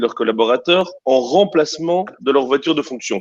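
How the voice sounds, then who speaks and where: This man talks at a moderate speed. His intonation is lively. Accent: Belgian. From Belgium. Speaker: startup CEO. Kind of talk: panel discussion.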